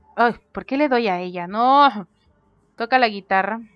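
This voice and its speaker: Someone is shouting. The pitch varies in an ordinary way. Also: woman. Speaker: gaming youtuber. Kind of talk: let's play commentary. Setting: home recording at desk. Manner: loud, near shouting while recording; animated.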